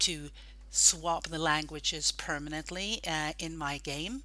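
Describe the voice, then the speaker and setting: Someone with a Norwegian accent speaks at a very slow pace in a very clean recording with a silent background. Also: woman. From Norway. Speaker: gaming group admin. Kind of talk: tutorial.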